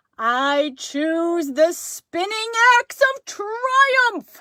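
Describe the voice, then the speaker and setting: A woman shouts in a put-on character voice at an extremely high pitch. Her pitch swings very widely, and the pace is very slow. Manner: shouting, booming.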